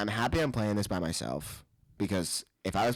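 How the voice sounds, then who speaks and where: An American-accented man speaks in an animated tone with lively intonation. The recording is very clean, with a silent background. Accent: New Jersey accent, stronger when drunk. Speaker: podcast co-host. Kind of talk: casual chat.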